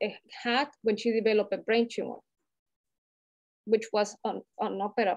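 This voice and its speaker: A woman speaks with a Latin American accent at a fairly high pitch and a moderate pace, taking long, frequent pauses. Her intonation is flat and monotone, and the sound is dry and close with no echo. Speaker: healthcare community leader. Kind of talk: panel discussion. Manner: halting, with many fillers.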